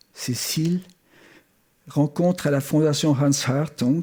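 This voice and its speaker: Recorded very cleanly against a silent background, a man with a German accent speaks at a very slow pace in a somewhat breathy voice. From Switzerland (Geneva), German-born. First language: German (speaking French). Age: 70s. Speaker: art historian, former museum curator. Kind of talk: memorial tribute speech. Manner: formal.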